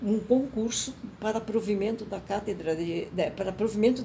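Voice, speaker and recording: A woman talks at a moderate pace with a medium pitch and ordinary pitch variation over noticeable background noise. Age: 80s+. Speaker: professor emerita of communication. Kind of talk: interview answer.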